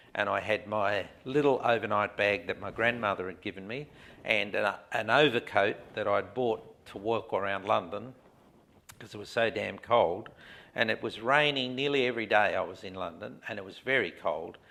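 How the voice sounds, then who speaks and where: With an Australian accent, this man speaks at a moderate pace, his loudness swinging widely and his pitch varying in an ordinary way. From Australia (Adelaide). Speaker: man telling his life story. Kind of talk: life story interview. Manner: halting, many fillers.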